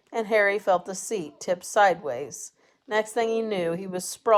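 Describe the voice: The delivery is plain reading aloud. Nothing much stirs behind it.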